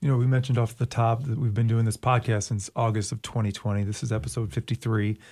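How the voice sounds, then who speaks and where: Somewhat breathy and dark, mellow in tone, the voice moves at a fairly quick pace with fairly even intonation and hardly any pauses, in a very clean recording with a silent background and a dry, close sound with no echo. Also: man, medium pitch for a man. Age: 40s. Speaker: podcast host, school district video producer. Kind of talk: casual interview chat.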